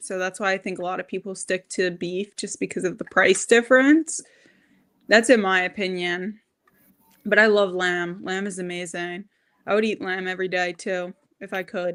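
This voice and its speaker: In a Long Island accent, a woman speaks at medium pitch with ordinary pitch variation and big swings in loudness. The recording is very clean, with a silent background. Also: moderate pace. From Long Island, New York. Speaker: diet content creator. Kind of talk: casual chat.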